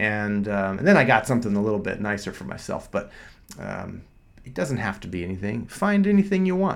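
Fairly quick and fairly even in intonation, this is a normal speaking voice. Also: man. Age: 40s. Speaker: doctor and podcast host. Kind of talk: solo podcast monologue. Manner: casual, with frequent fillers and repetitions.

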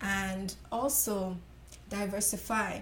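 The woman's voice is somewhat breathy. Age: 20s. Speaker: makeup artist. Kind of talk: interview.

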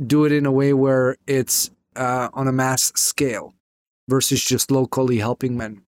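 This man has an ordinary speaking voice, fairly high in pitch, delivered at a moderate pace in a dry, close sound with no echo. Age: 30s. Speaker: relationship coach. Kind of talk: interview.

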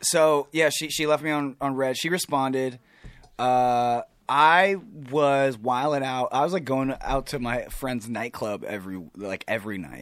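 At a fairly slow pace, a man with an American accent talks at medium pitch with ordinary pitch variation, on a very clean recording with a silent background. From Southern California (Riverside). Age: 20s. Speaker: musician and actor. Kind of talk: casual chat.

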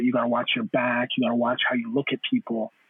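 A man with a Toronto accent and fairly even intonation. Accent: Toronto Canadian English. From Canada (Toronto), Caribbean parents. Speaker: panel guest. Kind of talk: casual panel discussion.

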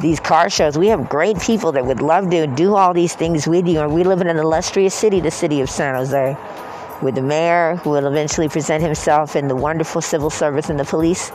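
Noticeable background noise sits under a man with a fairly high pitch, very even loudness and fairly even intonation. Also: fairly quick pace. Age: 50s. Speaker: video blogger. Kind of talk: casual monologue. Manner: halting.

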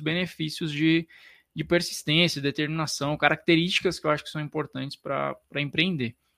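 A man's fairly high voice, bright and sharp in tone, at a fairly quick pace with fairly even intonation, dry and close with no echo on a very clean recording against a silent background. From interior of São Paulo state, Brazil. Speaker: physiotherapist and business mentor. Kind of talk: podcast interview.

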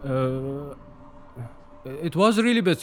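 With an Arabic accent, a man speaks at a very slow pace. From Syria. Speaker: refugee. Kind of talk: testimony. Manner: halting, many repetitions.

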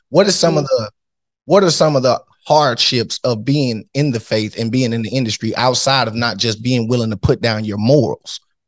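A man talks in a normal speaking voice at a moderate pace, medium in pitch with ordinary variation, the sound dry and close with no echo. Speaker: podcast co-host.

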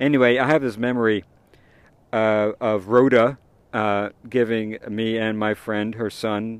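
Against a quiet background, a man's medium-pitched voice sounds dry and close with no echo. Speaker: podcast host. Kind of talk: casual monologue. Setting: outdoors in a park. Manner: halting.

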